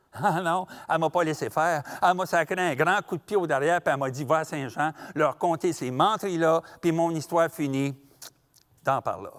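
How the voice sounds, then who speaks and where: Fairly quick and fairly high in pitch, a man speaks with a Quebec accent in a dry, close recording with no echo. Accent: rural Quebec French. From Quebec, rural. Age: 60s. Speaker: storyteller. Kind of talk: storytelling performance; interview.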